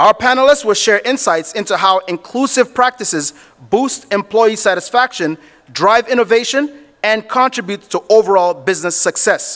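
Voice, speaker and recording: This man's voice is loud and high-pitched, with ordinary pitch variation at a moderate pace. The sound is dry and close, with no echo. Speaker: event emcee. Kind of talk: event hosting, introducing panel. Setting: stage at business summit with audience.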